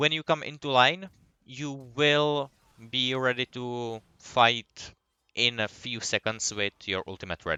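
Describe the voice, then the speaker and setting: Fairly slow delivery and ordinary pitch variation in an unremarkable speaking voice. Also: man, medium pitch for a man. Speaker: gaming guide creator. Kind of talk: tutorial.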